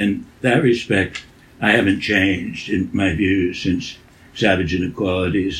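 A somewhat breathy man at a fairly slow pace. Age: 80s+. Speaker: education writer and former teacher. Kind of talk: interview. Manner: halting.

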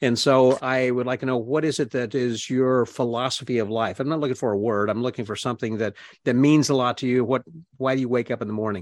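With a quiet background, a man talks at a very fast pace at a medium pitch with fairly even intonation. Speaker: podcast host. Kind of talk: interview conversation. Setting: video call.

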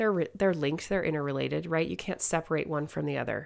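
An animated voice with normal rises and falls in pitch moves at a fairly quick clip over a very clean recording with a silent background. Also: woman. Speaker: podcast host, mother. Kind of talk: motivational solo talk.

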